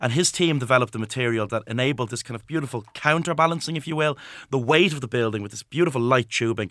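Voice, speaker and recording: A man with a Dublin accent at a very fast pace, ordinary pitch variation and big swings in loudness, on a very clean recording with a silent background. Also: medium pitch for a man. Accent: Irish (Dublin). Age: 20s. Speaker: historian and author. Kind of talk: radio interview. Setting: radio studio.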